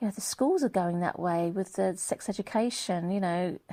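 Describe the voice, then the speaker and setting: In an English accent, a woman speaks at a moderate pace with a medium pitch, a dark, mellow tone and ordinary pitch variation. The recording is very clean, with a silent background and a dry, close sound with no echo. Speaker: vlogger. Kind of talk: monologue vlog. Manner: animated.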